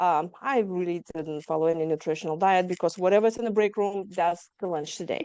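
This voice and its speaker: With a quiet background, a woman speaks fairly quickly in a dark, mellow tone at a medium pitch, with ordinary pitch variation. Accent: slight Lithuanian. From Lithuania. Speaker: trauma survivor guest. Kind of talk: interview testimony.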